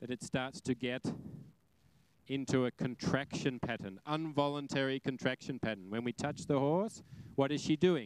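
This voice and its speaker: In an Australian accent, a man speaks at a moderate pace with ordinary pitch variation, the sound dry and close with no echo. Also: medium pitch for a man. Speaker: horse trainer. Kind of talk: live demonstration lecture. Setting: arena with audience. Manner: animated.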